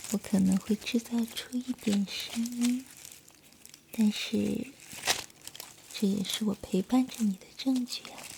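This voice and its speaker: The speech moves at a very slow pace, broken by long, frequent pauses. Noticeable background noise runs underneath. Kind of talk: whispered ASMR roleplay, soothing listener-style monologue. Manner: soft, slow, hushed and intimate, gentle reassuring tone.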